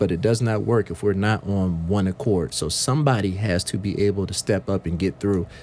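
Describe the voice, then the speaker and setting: In an American accent, a man talks at a fairly quick pace with hardly any pauses, using an ordinary speaking voice at a fairly low pitch. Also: ordinary pitch variation. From US South, Sumter, South Carolina. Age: 30s. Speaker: youth program director. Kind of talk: radio panel discussion. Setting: radio studio.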